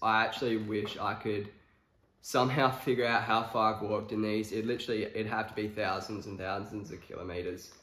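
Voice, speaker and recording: Over audible room echo, a man with a fairly low pitch talks at a fairly quick pace in a monotone, flat way. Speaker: fashion vlogger. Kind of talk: casual talk to camera. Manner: casual, hesitant with many fillers. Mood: relaxed, easygoing. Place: home room. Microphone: camera far.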